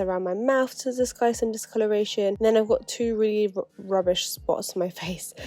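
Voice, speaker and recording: A woman with a dark, mellow tone speaks at a moderate pace with fairly even intonation. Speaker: beauty youtuber. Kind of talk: makeup tutorial chat.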